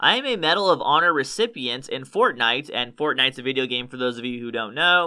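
Against a quiet background, a man's words come at a fairly quick pace. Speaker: online commentator. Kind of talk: commentary. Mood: mocking, amused. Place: studio. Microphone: studio mic.

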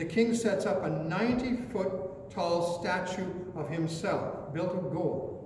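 A man talks very slowly in a high voice. Light background noise and audible room echo are present. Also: ordinary pitch variation. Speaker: pastor. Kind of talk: sermon. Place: church. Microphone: podium.

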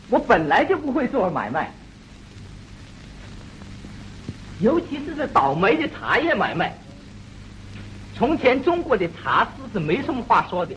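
Over light background noise, the words come at a very slow pace. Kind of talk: film dialogue. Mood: rueful complaining about business. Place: studio. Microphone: old recording.

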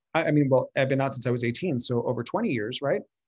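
A man's somewhat breathy voice with ordinary pitch variation against a quiet background. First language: Spanish. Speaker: communication coach and former actor. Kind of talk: online interview conversation. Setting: video call. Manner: animated. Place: home room. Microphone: video call.

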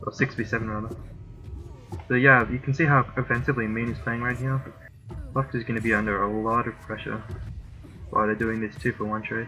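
The speech moves at a fairly quick pace with fairly even intonation and long, frequent pauses. Music plays in the background. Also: man, medium pitch for a man. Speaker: gaming commentator. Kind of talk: esports commentary. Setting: recorded voiceover of a replay. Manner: calm, analytical play-by-play.

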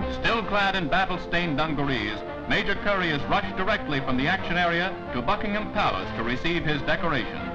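Someone talks at a very fast pace while clear music plays in the background. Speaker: newsreel narrator. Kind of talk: wartime newsreel narration. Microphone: old recording.

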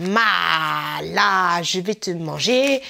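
In a put-on character voice, a woman speaks with a fairly low pitch. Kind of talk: casual vlog chat. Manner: playful, teasing. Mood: playful, excited.

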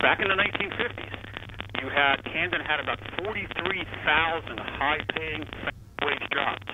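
Over noticeable background noise, a man with a fairly high voice and lively intonation speaks very slowly, leaving long, frequent pauses. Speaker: former state policy advisor. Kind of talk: radio interview.

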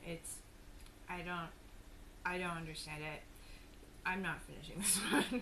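At a moderate pace, this woman's voice competes with loud background noise. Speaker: food taster vlogger. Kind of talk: casual vlog chat. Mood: amused, disappointed. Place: home room. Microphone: camera far.

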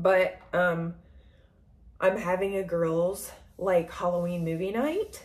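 Somewhat breathy and medium in pitch, a woman's voice moves at a very slow pace. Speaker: makeup vlogger. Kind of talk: makeup tutorial. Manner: casual, rambling with fillers; heavy breathing.

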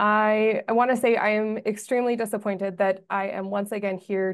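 A woman speaks with fairly even intonation. The background is quiet. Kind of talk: press statement. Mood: firm, disappointed. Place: office. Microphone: video call.

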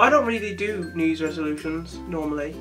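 Music is clearly audible behind the speech. The one talking is a man. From West Midlands, England. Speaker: vlogger. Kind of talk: casual vlog talk to camera. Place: home room. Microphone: webcam.

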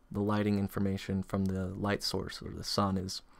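A quiet man speaks at a fairly quick pace with a fairly low pitch. The sound is dry, with no echo. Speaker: 3D artist and tutorial maker. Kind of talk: software tutorial narration. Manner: quiet, monotone. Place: home room.

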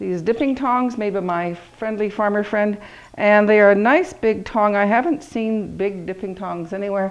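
Moderate tempo and ordinary pitch variation from a female speaker. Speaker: pottery teacher. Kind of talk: tutorial. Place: workshop.

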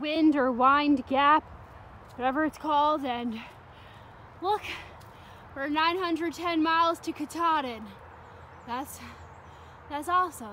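A woman with an American accent uses a raised, projected voice at a high pitch and a very slow pace, with ordinary pitch variation, long, frequent pauses, light background noise and a dry sound with no echo. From New Jersey. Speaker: thru-hiker vlogger. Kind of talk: casual vlog narration. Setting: outdoors on hiking trail. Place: forest. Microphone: phone near.

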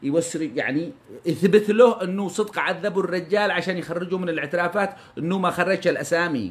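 An animated man speaks with a high pitch. His pitch variation is ordinary. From Yemen. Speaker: news commentator. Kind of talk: impassioned monologue. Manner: fast. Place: home room. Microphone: phone near.

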